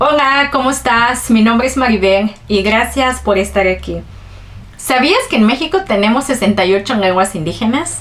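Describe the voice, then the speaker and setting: At a moderate pace, a woman speaks with fairly high pitch, lively intonation and very even loudness over noticeable background noise. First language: Ch'ol (Mayan language) (speaking Spanish). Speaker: vlogger. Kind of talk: personal storytelling vlog.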